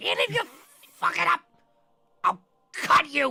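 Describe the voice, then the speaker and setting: This is a put-on character voice. Its pitch is high. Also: moderate pace. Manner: threatening, gruff.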